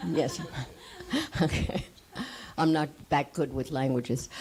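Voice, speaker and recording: Long, frequent pauses mark this woman's very deep, low voice, which has ordinary pitch variation. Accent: New York. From US, New York City (Manhattan). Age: 80s+. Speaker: actress. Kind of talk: panel talk.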